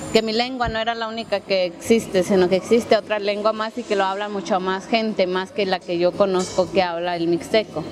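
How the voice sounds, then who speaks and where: Hardly any pauses break up the speech, and the intonation stays fairly even. Noticeable background noise is present. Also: woman, medium pitch for a woman, fairly quick pace. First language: Mixtec (speaking Spanish). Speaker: interviewee. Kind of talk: documentary interview.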